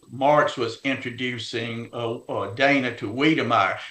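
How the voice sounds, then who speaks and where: In a Louisiana accent, a man speaks at a moderate pace with medium pitch, a bright, sharp tone and fairly even intonation, with audible room echo. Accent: US Southern (Louisiana). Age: 70s. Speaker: heritage organization leader and author. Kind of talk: interview. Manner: halting, many fillers.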